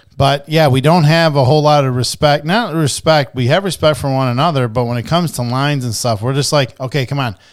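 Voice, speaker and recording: Fairly quick and fairly high, a man's voice moves through ordinary pitch variation. The recording is very clean, with a silent background. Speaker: realtor and podcast co-host. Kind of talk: casual chat. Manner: loud.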